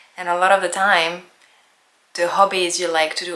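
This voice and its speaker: A woman speaks with a French accent at a fairly low pitch. There is audible room echo. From France. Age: 30s. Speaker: lifestyle vlogger. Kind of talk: casual vlog narration. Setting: at home.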